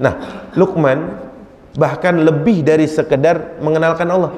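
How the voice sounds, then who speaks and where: A man's voice in a Jakarta accent, with audible room echo and noticeable background noise. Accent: Betawi dialect. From Jakarta, Indonesia (Betawi). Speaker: Islamic preacher. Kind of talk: religious lecture. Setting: mosque with audience. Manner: conversational, addresses audience.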